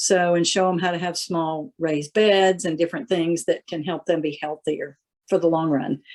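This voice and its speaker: A woman's plain, everyday voice, fairly low in pitch, with fairly even intonation at a moderate pace. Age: 60s. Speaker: farmer. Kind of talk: casual chat.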